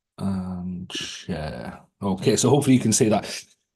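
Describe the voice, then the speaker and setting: There is a British accent in this man's voice. His tone is dark and mellow, over a quiet background. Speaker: AI speaker and author. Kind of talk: webinar presentation.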